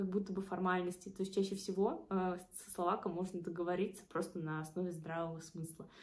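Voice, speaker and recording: A woman speaks with a dark, mellow tone that is somewhat breathy. Her intonation stays fairly even. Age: 20s. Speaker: student and study-abroad consultant. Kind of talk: casual vlog talk.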